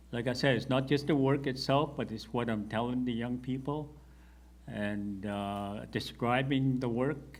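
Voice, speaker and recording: Audible room echo surrounds a man talking at medium pitch with fairly even intonation. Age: 60s. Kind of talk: panel discussion.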